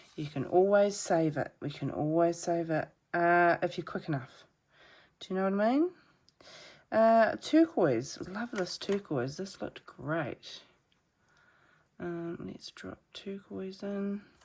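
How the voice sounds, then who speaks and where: A soft-spoken woman's fairly low voice at a very slow pace, with lively intonation, big swings in loudness and long, frequent pauses, in a very clean recording with a silent background. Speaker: watercolour artist teaching painting. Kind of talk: painting tutorial. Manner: casual, chatty with fillers; soft-spoken, quiet while concentrating.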